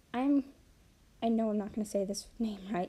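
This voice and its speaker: The voice is soft-spoken, with mumbled words. It moves at a moderate pace. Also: woman. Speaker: artist live-streaming drawing. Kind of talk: casual live-stream commentary while drawing. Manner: mumbling; quiet, soft-spoken.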